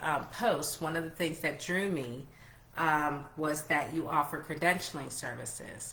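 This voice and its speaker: Audible room echo surrounds a voice speaking at a fairly slow pace with fairly even intonation. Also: woman. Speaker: travel entrepreneur and livestream host. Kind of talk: live interview. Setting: Facebook group livestream. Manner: stumbling over words.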